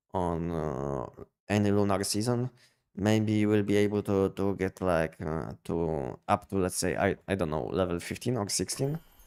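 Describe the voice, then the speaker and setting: In a Polish accent, a man with a fairly low pitch and a dark, mellow tone speaks at a fairly slow pace with ordinary pitch variation. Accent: Polish accent, thought Russian by viewer. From Poland. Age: 50s. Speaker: gaming streamer. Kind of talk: live stream commentary. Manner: halting, many repetitions and fillers.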